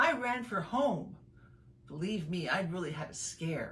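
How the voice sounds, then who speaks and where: A woman speaks at a fairly slow pace. She has an unremarkable speaking voice. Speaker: burlesque and spoken word performance artist. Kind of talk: children's story reading.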